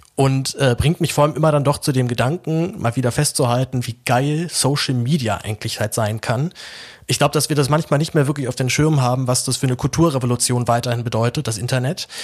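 He talks at a very fast pace. The man's voice is somewhat breathy and medium in pitch. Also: ordinary pitch variation. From Berlin, Germany. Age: 20s. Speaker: journalist and podcaster. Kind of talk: personal announcement monologue.

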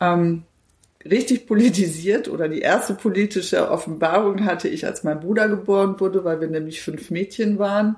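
A woman's ordinary speaking voice, medium in pitch, with ordinary pitch variation at a moderate pace. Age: 50s. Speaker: politician. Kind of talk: interview.

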